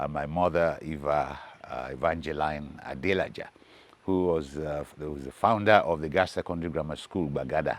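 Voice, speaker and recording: Vocal fry with fairly even intonation at a moderate pace. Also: man, very deep, low pitch for a man. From Nigeria, Lagos. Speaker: musician. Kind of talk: interview storytelling. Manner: halting.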